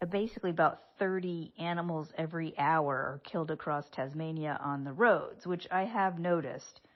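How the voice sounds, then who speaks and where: A woman with an American accent speaks at a moderate pace in a very deep, low pitch, her pitch varying in an ordinary way. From United States. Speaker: radio show and podcast host. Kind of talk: casual podcast travel narration. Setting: low-tech field recording.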